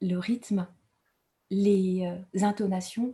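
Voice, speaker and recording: A woman speaks very slowly at medium pitch, somewhat breathy, with a dark, mellow tone and fairly even intonation. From Rwanda. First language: Kinyarwanda (speaking French). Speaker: writer. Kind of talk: award acceptance speech. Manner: halting, many hesitations.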